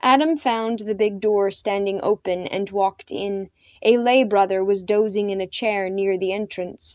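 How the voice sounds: The voice is a natural reading voice, its intonation fairly even.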